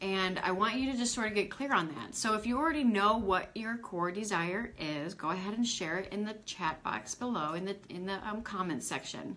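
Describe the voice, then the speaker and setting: A woman with a medium pitch and lively intonation, hardly pausing, against noticeable background noise. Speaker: spiritual coach. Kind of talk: live online training. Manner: fast.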